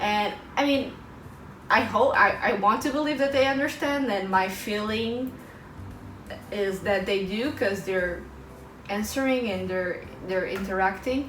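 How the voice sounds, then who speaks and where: A woman with a Portuguese accent speaks at a medium pitch and fairly slow pace, with long, frequent pauses and ordinary pitch variation. Audible room echo and noticeable background noise are present. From Portugal. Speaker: vlogger and English teacher. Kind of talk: casual vlog talk to camera.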